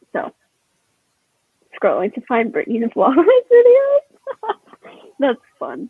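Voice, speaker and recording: This woman's voice is extremely high and moves through very wide pitch swings. She talks very slowly, with long, frequent pauses. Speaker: booktuber. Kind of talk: casual chat.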